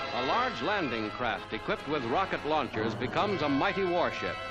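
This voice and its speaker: A man's voice at a moderate pace with very wide pitch swings, music playing behind it. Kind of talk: newsreel narration.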